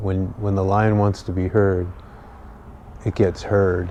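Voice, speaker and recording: A man speaks at a fairly slow pace. His pitch is fairly low. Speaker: vlogger. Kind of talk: casual monologue. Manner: monotone, slow; halting, many ums and repeats.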